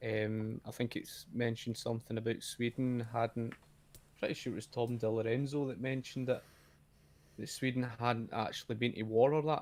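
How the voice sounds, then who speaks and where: A man with a Scottish accent, medium pitch, monotone, flat intonation and a moderate pace. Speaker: YouTuber, guest. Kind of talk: casual debate. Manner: halting, repetitive.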